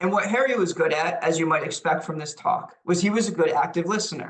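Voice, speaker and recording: A man with a New York accent, high-pitched, ordinary pitch variation, fairly quick pace. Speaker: lecturer on leadership. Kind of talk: lecture. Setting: webinar.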